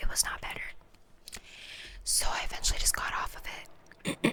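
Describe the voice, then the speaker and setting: The voice is a whisper. Background noise is noticeable throughout. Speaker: ASMR content creator. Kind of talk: casual talk to camera, ASMR mukbang chit-chat. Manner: whispered, soft-spoken.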